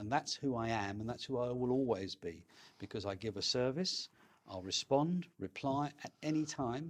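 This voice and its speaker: A man speaks with a London accent at medium pitch. His intonation is lively. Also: moderate pace. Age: 60s. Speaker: estate agent. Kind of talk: interview. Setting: in person.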